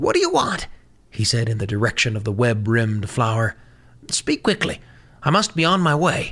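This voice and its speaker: This is a put-on character voice, low in pitch and shaky. It moves at a moderate pace. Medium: read story. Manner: nervous, shaky.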